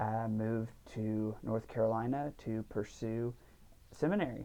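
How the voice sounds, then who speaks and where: The voice has a dark, mellow tone and keeps to a fairly slow pace. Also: man. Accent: Texan. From Central Texas, near Waco. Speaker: seminary student. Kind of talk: casual chat. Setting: studio.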